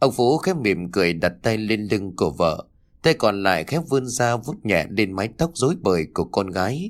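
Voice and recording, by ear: A passage read aloud in a natural voice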